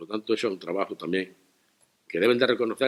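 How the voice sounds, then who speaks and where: Talking at a very fast pace, a man keeps to a medium pitch. His pitch varies in an ordinary way. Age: 70s. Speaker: local politician. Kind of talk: press conference statement.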